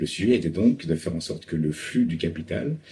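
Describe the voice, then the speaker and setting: A man speaks at a fairly slow pace in a somewhat breathy voice. His tone is dark and mellow, with ordinary pitch variation. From Paris, France. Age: 40s. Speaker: climate finance consultant. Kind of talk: interview monologue. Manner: hesitant with frequent fillers.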